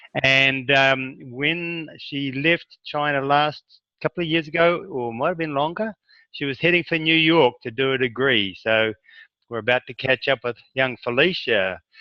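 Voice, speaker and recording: A man's fairly high-pitched voice, a normal speaking voice, at a fairly slow pace with ordinary pitch variation. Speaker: interviewer, former teacher. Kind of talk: introduction to camera.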